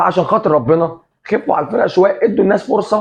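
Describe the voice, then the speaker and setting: Animated and fairly quick, a man speaks at a high pitch. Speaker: football commentator, café owner persona. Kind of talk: casual sports commentary monologue.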